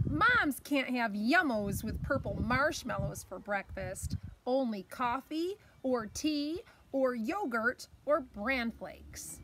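Light background noise sits behind a woman speaking very slowly in a high pitch. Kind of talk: children's story read-aloud. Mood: warm, playful. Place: garden. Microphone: phone near.

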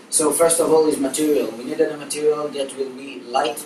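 A man's voice at a moderate pace, with audible room echo and light background noise. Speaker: presenter. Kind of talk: class presentation. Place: classroom. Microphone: camera far.

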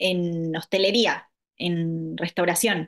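A woman with an Argentine accent speaks against a quiet background. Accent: Argentine Spanish (voseo). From Argentina, La Pampa (Santa Rosa); La Pampa, Argentina. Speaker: yoga instructor; interviewee. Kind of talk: interview; interview answer. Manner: hesitant, many fillers. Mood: warm, reflective. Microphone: video call.

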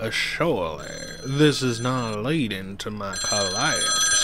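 A man talks with noticeable background noise. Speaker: gaming video host. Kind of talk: casual let's-play commentary.

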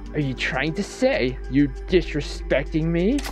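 A robotic, put-on character voice at a fairly slow pace over loud background music. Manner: menacing.

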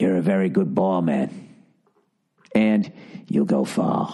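A put-on character voice from a man, very deep and low, at a fairly slow pace. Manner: intense, flattering, unsettling.

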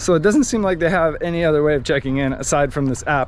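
A man speaks over music in the background, the sound dry with no echo. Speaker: sailing travel vlogger. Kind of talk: casual vlog chat. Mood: frustrated, annoyed. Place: waterside. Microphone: phone near.

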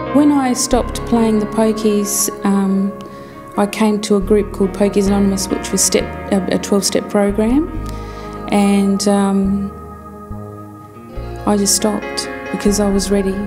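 Over clear background music, a woman talks at a fairly slow pace with fairly even intonation, very even loudness, and long, frequent pauses. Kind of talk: interview answer. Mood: ashamed, reflective. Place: studio.

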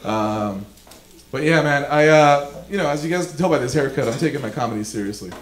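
Fairly quick and with lively intonation, the speech carries an American accent and audible room echo. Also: man, fairly high pitch for a man. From Los Angeles, California. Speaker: stand-up comedian. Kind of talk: live stand-up comedy set. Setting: live comedy club, stage mic. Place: stage. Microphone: handheld.

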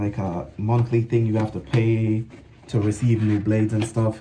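Amid noticeable background noise, a man talks fairly slowly in a fairly low pitch. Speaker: product reviewer. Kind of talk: casual vlog chat. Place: bathroom. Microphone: phone near.

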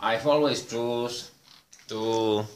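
Audible room echo surrounds a man speaking with a Polish accent. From Poland. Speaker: vlogger. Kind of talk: monologue to camera. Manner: halting. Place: home room. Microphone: phone near.

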